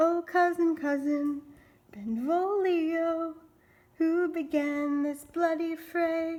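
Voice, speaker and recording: In a put-on character voice, a woman speaks at a very slow pace with an extremely high pitch and fairly even intonation. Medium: stage play. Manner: anguished, impassioned.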